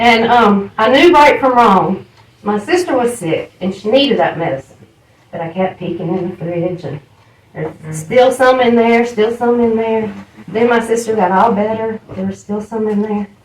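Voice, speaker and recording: Over noticeable background noise, a woman with a Southern US accent speaks at a moderate pace, her fairly high voice full of lively intonation. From US South, Charlotte, North Carolina. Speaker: AA speaker. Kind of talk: recovery testimony.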